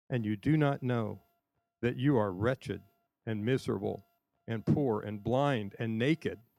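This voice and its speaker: Pausing long and often, a man speaks at a fairly slow pace in a medium, dark, mellow voice with ordinary pitch variation. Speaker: scripture reader. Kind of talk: reading aloud. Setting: church service on a college campus.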